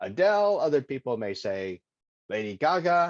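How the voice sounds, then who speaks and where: A man with a Texas accent speaks at a fairly high pitch, his voice swinging very widely up and down. The sound is dry and close with no echo, over a quiet background. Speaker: Toastmasters presenter. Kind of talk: impromptu practice speech. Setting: video call. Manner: halting, with filler words.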